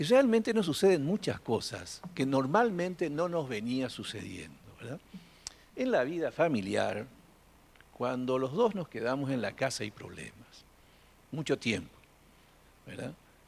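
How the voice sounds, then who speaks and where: A man speaks at a fairly high pitch with very wide pitch swings. His pace is fairly slow, with long, frequent pauses. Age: 60s. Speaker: audience member. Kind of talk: audience testimony at a live event. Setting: in-person event with audience. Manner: halting.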